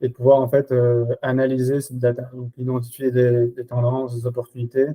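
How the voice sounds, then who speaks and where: Speaking at a moderate pace, a man at medium pitch has a dark, mellow tone and a monotone, flat intonation. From Belgium. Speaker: RevOps and Salesforce expert. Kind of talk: podcast interview. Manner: hesitant, many fillers.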